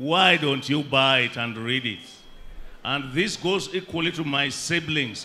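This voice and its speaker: The man's pitch is fairly high and his intonation lively. He speaks at a very slow pace. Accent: Kenyan. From Kenya. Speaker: bereaved family member. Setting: outdoor funeral gathering with crowd and PA system. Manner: wry and folksy, dropping jokes and proverbs into grief; halting, with frequent uh and um fillers. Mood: solemn, reflective. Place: tent. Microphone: handheld.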